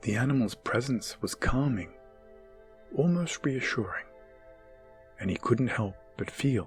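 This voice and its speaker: Music plays in the background while a man speaks with lively intonation and long, frequent pauses. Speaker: storyteller. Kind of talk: ASMR bedtime story narration. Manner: whispered, soothing, calm.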